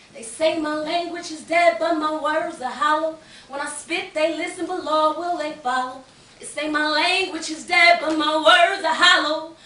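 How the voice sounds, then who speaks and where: A woman's extremely high voice is raised and projected, with fairly even intonation and big swings in loudness. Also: moderate pace. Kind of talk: spoken word poetry performance. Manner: rhythmic, impassioned.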